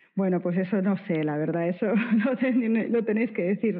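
A fairly slow, woman's ordinary speaking voice, pitch varying in an ordinary way. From Spain, Bilbao (Basque Country). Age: 40s. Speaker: art curator and critic. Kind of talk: interview conversation.

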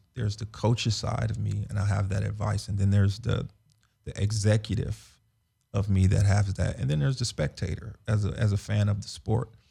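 In an American accent, a man talks at a fairly quick pace with a fairly low pitch, a dark, mellow tone and vocal fry. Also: fairly even intonation. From Los Angeles. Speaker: former football player. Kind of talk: casual interview. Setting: studio.

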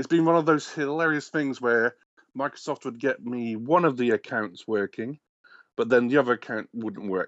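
A man speaks with an English accent. He keeps a moderate pace and ordinary pitch variation. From England. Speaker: game programmer. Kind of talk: casual chat.

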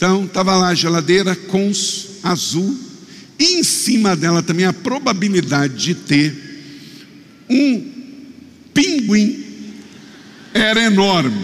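A man with a high pitch and lively intonation at a very slow pace, with long, frequent pauses, very even loudness and audible room echo. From Rio de Janeiro state, Brazil. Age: 50s. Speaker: pastor. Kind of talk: sermon.

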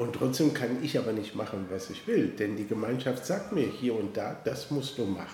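Amid noticeable background noise and audible room echo, a man of medium pitch talks at a moderate pace with ordinary pitch variation. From western Germany, Koblenz. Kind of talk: interview. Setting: office, face to face. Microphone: mobile studio, poorer sound quality.

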